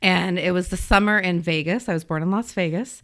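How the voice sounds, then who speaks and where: An ordinary speaking voice with an American accent moves at a moderate pace. The recording is very clean, with a silent background. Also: woman. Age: 40s. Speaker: education administrator. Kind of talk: casual chat.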